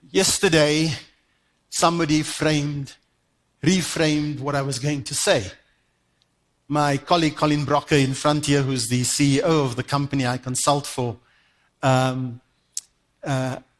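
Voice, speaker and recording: Speaking at a moderate pace with long, frequent pauses, a man with a fairly high pitch is heard in a very clean recording over a silent background. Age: 60s. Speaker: conference speaker, development consultant. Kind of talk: conference keynote talk. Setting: stage with audience. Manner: animated.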